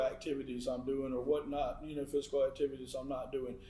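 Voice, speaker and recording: A man speaks at a fairly high pitch. Background noise can be clearly heard. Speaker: podcast co-host. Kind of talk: casual chat. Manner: words run together.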